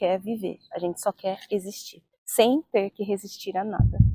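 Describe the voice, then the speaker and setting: A woman with a normal speaking voice talks at a fairly slow pace, and the sound is dry and close with no echo. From Brazil, Jundiaí (São Paulo state). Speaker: interviewee in documentary. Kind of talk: documentary testimony.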